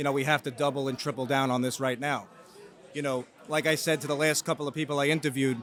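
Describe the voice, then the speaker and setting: Rushing at a very fast pace, a man speaks in a monotone, flat way at a fairly high pitch. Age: 30s. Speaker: mortgage broker and interview host. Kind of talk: casual interview. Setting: real estate expo.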